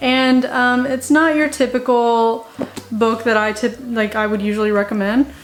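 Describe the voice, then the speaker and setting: A woman speaks at a fairly slow pace with a fairly high pitch and ordinary pitch variation. Noticeable background noise sits behind her voice. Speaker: book reviewer, video blogger. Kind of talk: casual talk to camera. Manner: halting, filler-heavy.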